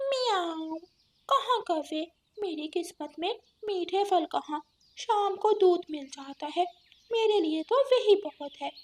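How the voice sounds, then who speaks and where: In a cartoonish character voice, a woman talks fairly slowly at an extremely high pitch. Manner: meows between phrases.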